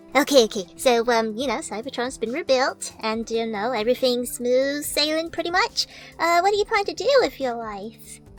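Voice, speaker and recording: A woman puts on a character voice at a high pitch, with clear music playing in the background. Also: moderate pace. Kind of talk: mock interview host. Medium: role play. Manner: hesitant, awkward.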